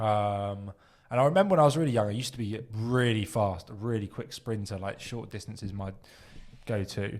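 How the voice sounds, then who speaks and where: In a very clean recording with a silent background, a man speaks in a southern English accent. His pitch is fairly low and his pace fairly quick. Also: ordinary pitch variation. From southern England (Southampton). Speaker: podcast co-host. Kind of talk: casual chat.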